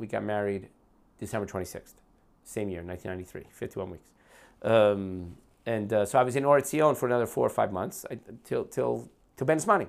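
In a very clean recording with a silent background, a man with a fairly low pitch and ordinary pitch variation talks at a very fast pace, with big swings in loudness and long, frequent pauses. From New Jersey, US. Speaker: podcast guest, long-time immigrant to Israel. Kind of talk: casual conversation over whiskey. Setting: at his home.

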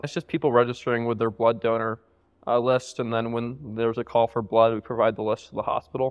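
A man talks at a very fast pace. His intonation is monotone and flat. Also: medium pitch for a man. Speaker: entrepreneur. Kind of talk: casual interview. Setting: in person with live listener.

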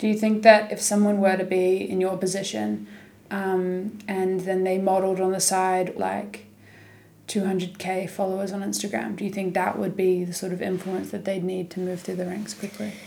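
With a New Zealand accent, a woman speaks at medium pitch and a moderate pace in a dark, mellow tone and a flat monotone. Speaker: podcast host. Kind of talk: casual interview chat.

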